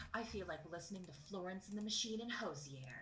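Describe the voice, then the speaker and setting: With an American accent, a woman talks at a moderate pace against noticeable background noise and audible room echo. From Texas, Dallas area. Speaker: singer in a cover band. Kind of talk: casual interview.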